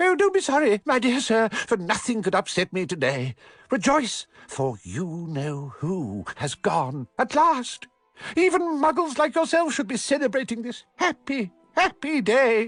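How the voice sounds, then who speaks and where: With faint music in the background, a man does a squeaky, put-on character voice at an extremely high pitch, swinging his pitch very widely at a moderate pace. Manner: gleeful, delighted.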